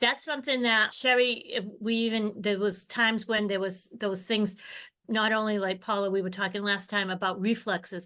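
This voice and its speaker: A woman's bright, sharp voice at medium pitch, with fairly even intonation, over a quiet background. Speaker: occupational therapist presenting a book study. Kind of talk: lecture-style presentation to a group. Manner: fast.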